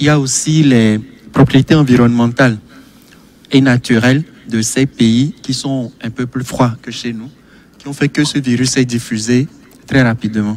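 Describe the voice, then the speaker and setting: At a fairly slow pace with long, frequent pauses, a man speaks in a medium pitch and fairly even intonation. The sound is dry with no echo, and there is light background noise. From Togo. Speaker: medical doctor; TV guest. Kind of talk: televised panel debate. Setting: studio. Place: studio. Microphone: studio mic.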